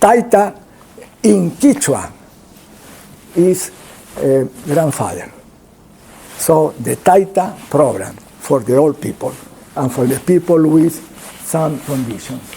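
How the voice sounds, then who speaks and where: A man with a Spanish accent talks very slowly in a fairly high voice, with lively intonation, long and frequent pauses, and noticeable background noise. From Peru. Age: 70s. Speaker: pulmonologist. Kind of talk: lecture. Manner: halting.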